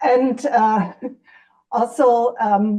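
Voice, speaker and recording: A woman speaks in a dark, mellow tone with a German accent. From Germany, West Berlin. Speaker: podcast co-host. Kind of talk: casual discussion. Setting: video call from her kitchen.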